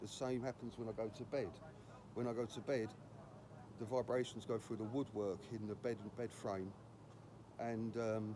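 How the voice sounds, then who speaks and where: With a British accent, a man speaks in a medium pitch at a moderate pace, his intonation flat and monotone, with long, frequent pauses. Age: 60s. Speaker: housing protester, vlogger. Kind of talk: protest vlog to camera. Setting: outdoors outside housing office. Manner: halting, with many restarts.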